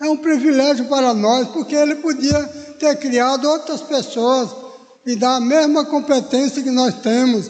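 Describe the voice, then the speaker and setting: A man with an extremely high pitch speaks at a fairly slow pace with fairly even intonation. Audible room echo and noticeable background noise accompany his voice. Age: 80s+. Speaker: church elder, lay preacher. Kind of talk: sermon. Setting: church service.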